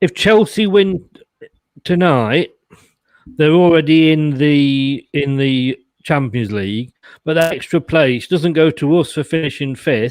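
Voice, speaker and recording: Speaking in an English accent, a man talks at a fairly slow pace with a fairly high pitch and ordinary pitch variation. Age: 60s. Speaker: football fan panellist. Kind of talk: casual chat.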